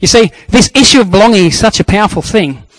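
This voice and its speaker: Recorded dry and close with no echo, a man talks at a fairly quick pace with ordinary pitch variation. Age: 40s. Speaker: preacher. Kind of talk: sermon.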